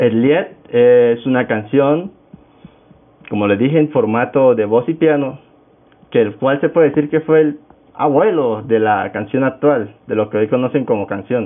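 A man speaks with a Venezuelan Andean accent at a fairly slow pace. His pitch varies in an ordinary way, and his pauses are long and frequent. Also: medium pitch for a man. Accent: Venezuelan Andean (Táchira) Spanish. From Venezuela, Táchira state. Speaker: podcast host, music student. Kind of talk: casual solo podcast talk.

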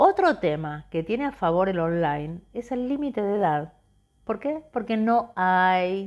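The pitch swings very widely. The pace is fairly slow. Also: woman, medium pitch for a woman. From Argentina. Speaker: podcast host. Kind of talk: podcast monologue.

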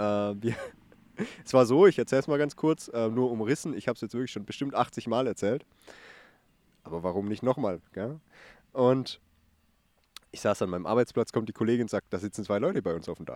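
A man speaks at a fairly quick pace and medium pitch, with ordinary pitch variation, big swings in loudness, and long, frequent pauses. The recording is very clean, dry, and close, with a silent background and no echo. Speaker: podcast co-host. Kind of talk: casual chat. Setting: outdoors.

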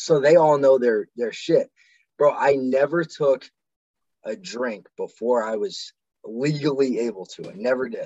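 A man with a Midwestern US accent speaks at a fairly high pitch, with ordinary pitch variation and big swings in loudness. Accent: US Midwest. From Ohio, Medina. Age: 20s. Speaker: Marine veteran. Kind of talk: casual chat.

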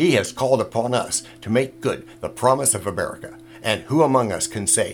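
Noticeable background noise behind a fairly quick pace of talk. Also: man. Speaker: podcast host. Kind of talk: period speech, archival political address to a formal audience.

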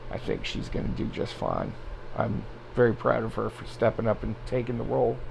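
There is noticeable background noise. A man talks at a fairly quick pace. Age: 40s. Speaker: podcast host. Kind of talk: casual solo monologue. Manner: hesitant, many fillers.

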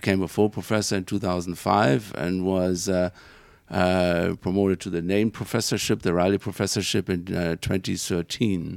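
The speaker talks at a moderate pace with a German accent. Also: man. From Germany. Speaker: engineering professor. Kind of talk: interview. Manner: hesitant.

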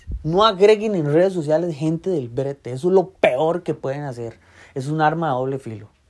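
At a moderate pace, a man with a Costa Rican accent speaks in a fairly high voice with lively intonation. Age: 30s. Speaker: podcaster. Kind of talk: casual monologue.

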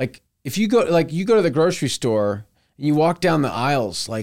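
A man with an American accent speaks at a moderate pace in a fairly high pitch, his voice making very wide pitch swings. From Texas, Houston suburbs. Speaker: farmer. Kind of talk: casual chat.

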